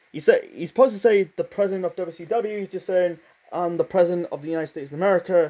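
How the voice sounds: A man's high-pitched, dark and mellow voice at a fast pace, with fairly even intonation.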